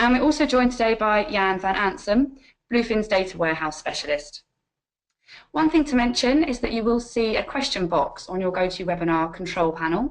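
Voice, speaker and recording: Talking at a fairly quick pace, a woman uses a fairly high pitch with very wide pitch swings. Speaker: webinar host. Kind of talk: webinar introduction. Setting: online webinar. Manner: formal.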